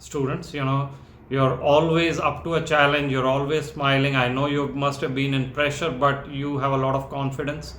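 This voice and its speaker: An American accent amid audible room echo. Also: man. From India. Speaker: founder of a medical residency support organization. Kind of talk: interview.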